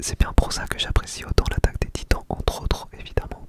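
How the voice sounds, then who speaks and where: A man whispers at a fairly quick pace against noticeable background noise. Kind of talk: ASMR talk to camera. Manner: whispered, very close to the microphone, casual.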